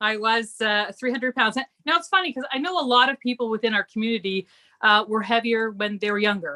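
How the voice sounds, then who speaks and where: A woman with a Canadian accent has a normal speaking voice. She talks at a fairly quick pace and a fairly high pitch, with lively intonation. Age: 60s. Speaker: weight loss success story guest. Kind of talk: casual chat.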